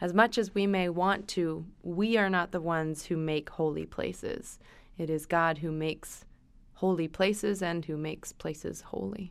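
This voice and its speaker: This woman has a normal speaking voice with a fairly low pitch and fairly even intonation at a moderate pace. The recording is very clean, with a silent background. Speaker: podcast host and preacher. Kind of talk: casual conversation.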